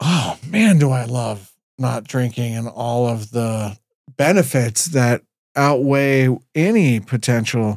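A man's normal speaking voice at medium pitch with ordinary pitch variation, on a very clean recording with a silent background. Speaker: business owner. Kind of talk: casual chat.

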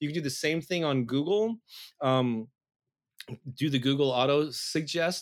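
With an American accent, a man talks at a moderate pace and ordinary pitch variation, taking long, frequent pauses. The recording is very clean, with a silent background. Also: fairly high pitch for a man. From US Midwest, St. Louis. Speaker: music marketing expert and author. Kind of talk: interview.

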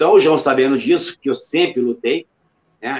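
In a plain, everyday voice, a man talks at a moderate pace with a fairly high pitch, the sound dry and close with no echo. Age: 50s. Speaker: retired MMA fighter. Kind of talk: interview.

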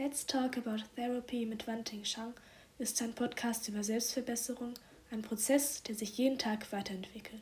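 A woman speaks in a fairly high, warm voice with monotone, flat intonation. Noticeable background noise runs underneath. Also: moderate pace. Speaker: poet and podcaster. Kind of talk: spoken word poetry, a heartfelt intimate love letter addressed to a lover. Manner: earnest and tender, with reflective pauses and warm emphasis.

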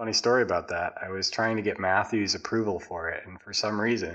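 A man speaks at a medium pitch in an ordinary speaking voice. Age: 20s. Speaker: podcast co-host. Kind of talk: casual chat.

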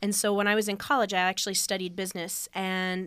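The recording is very clean, with a silent background. A woman speaks at a medium pitch and a fairly quick pace. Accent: Upper Midwest. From US Midwest (northeast Iowa). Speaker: soil and crop management educator. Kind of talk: radio interview.

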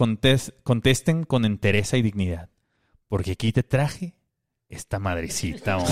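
The speaker has a Mexican accent and lively intonation. The sound is dry and close, with no echo. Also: man, fairly low pitch for a man. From Mexico. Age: 30s. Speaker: podcast co-host. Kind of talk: casual comedic chat.

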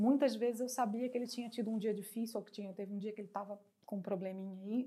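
A woman speaks very fast in a fairly high, somewhat breathy voice. Her tone is dark and mellow, and her intonation is fairly even. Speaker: actress and TV presenter. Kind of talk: casual interview. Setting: studio.

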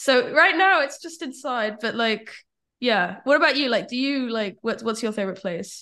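A woman's high, bright, sharp voice with a British accent, lively intonation and a moderate pace, against a quiet background. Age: 20s. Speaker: copywriter. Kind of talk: casual interview chat.

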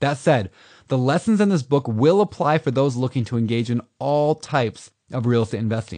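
A man speaks in an unremarkable speaking voice at a medium pitch with lively intonation. His pace is fairly quick, over a quiet background. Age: 30s. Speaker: author narrating his own audiobook. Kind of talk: audiobook narration.

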